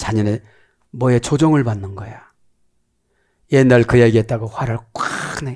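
A man with a medium-pitched voice speaks in an animated tone at a fairly slow pace, with long, frequent pauses and big swings in loudness against a quiet background. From South Korea. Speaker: pastor. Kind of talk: sermon. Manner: animated, preaching. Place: studio. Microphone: headset.

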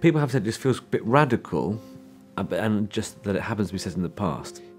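Very fast and with very wide pitch swings, a man talks at a fairly low pitch over faint music in the background. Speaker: film director. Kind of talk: interview answer. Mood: thoughtful, engaged. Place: studio.

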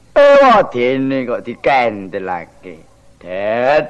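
Using a cartoonish character voice, a man speaks at a medium pitch and a very slow pace. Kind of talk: comic shadow-puppet interlude. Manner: whining, self-pitying, rambling.

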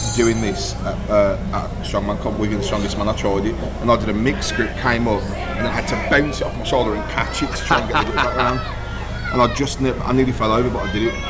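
Clear music plays in the background. Over it, a man talks very fast. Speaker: host reacting to footage. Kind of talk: casual reaction chat. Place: hall.

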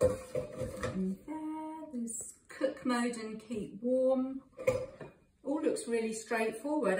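A woman's voice amid noticeable background noise. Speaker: home cook reviewing a product. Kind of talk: casual product demo chat. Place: kitchen. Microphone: phone near.

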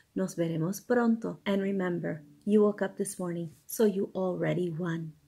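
A woman talks at a moderate pace in a dark, mellow tone. Her voice is somewhat breathy over a quiet background. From New York. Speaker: ESL teacher. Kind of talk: casual bilingual self-introduction to camera. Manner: upbeat. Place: home room. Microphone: phone near.

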